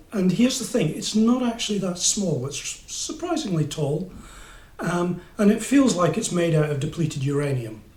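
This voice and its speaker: A man speaks at a fairly slow pace in a high pitch. His pitch swings very widely, and audible room echo surrounds the voice. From England. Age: 60s. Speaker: motorcycle reviewer. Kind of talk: casual review monologue. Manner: hesitant, many fillers. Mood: wry, humorous. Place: home room. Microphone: camera far.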